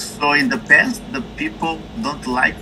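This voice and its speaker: Over noticeable background noise, a man speaks with very wide swings in pitch. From Brazil. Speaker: interview guest. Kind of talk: interview. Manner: halting.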